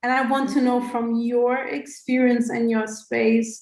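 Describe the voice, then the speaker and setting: A woman's high voice at a very slow pace. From Egypt. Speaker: coach asking a question. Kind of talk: audience question.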